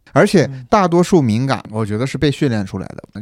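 A man is speaking. His tone is dark and mellow. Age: middle-aged. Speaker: internet product manager. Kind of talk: casual chat.

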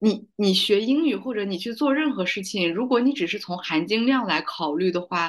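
In an ordinary speaking voice, the speaker moves at a fairly quick pace with lively intonation. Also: woman. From China, Kazakh community. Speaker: podcast host, film industry worker. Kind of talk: casual interview chat. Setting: online call.

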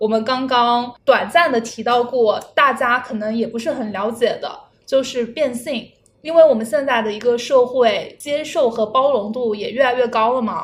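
A woman's high voice, moderately paced and with ordinary pitch variation. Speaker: podcast host. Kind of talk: casual chat. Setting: meeting room.

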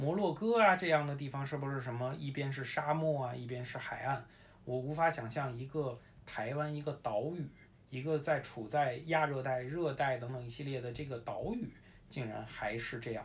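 A man with a Beijing accent talks at a moderate pace, somewhat breathy. His pitch varies in an ordinary way, and room echo is audible. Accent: Beijing Mandarin with erhua. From Beijing, China. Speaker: sports photojournalist. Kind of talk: casual chat.

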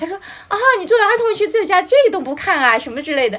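A woman speaks over noticeable background noise. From China, Shanghai. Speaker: children's author and drama professor. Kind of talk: casual chat. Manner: halting, many fillers.

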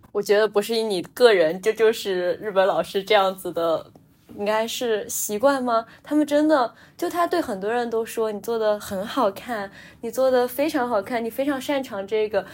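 Her voice is a plain, everyday voice, a woman's at a fairly high pitch, with lively intonation and a moderate pace. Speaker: podcast co-host. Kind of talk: casual chat.

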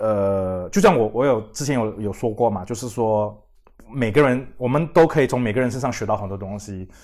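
Male speech with ordinary pitch variation, delivered at a moderate pace. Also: medium pitch for a man. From Singapore. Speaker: independent magazine editor and publisher. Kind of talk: casual interview chat. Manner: halting, many fillers and repetitions.

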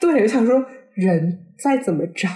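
Her pitch sits at a medium level but swings very widely as this woman speaks at a fairly slow pace. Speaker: podcast co-host. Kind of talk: casual chat.

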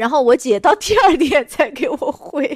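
Talking proceeds at a moderate pace. It's a very clean recording, the background silent. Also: woman. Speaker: podcast co-host. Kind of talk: casual chat. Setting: recording lying down.

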